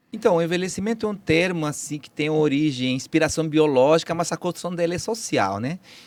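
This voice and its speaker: On a very clean recording with a silent background, the speaker keeps a moderate pace and ordinary pitch variation. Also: man. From Peru. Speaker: biology professor. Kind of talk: interview. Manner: halting.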